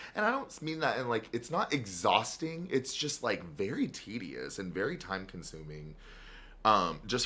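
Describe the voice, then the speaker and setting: A man at a medium pitch talks at a moderate pace with vocal fry. His pitch swings very widely. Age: 20s. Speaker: podcast host. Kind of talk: casual chat.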